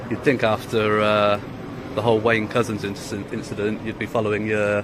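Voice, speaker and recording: A man's medium-pitched voice with a British accent, fairly quick pace and noticeable background noise. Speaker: auditor filming police. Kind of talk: confrontational street exchange. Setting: outdoors on public footpath.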